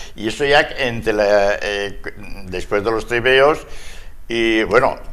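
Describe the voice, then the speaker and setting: Over audible room echo, a man talks at a very slow pace with a medium pitch and ordinary pitch variation. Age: 80s. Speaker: older guest sharing memories. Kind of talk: casual TV chat. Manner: halting, repetitive.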